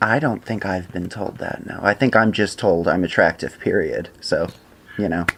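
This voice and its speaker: At a moderate pace, a man speaks in a fairly low pitch with ordinary pitch variation. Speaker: podcast co-host. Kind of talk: casual chat. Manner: over-enunciated.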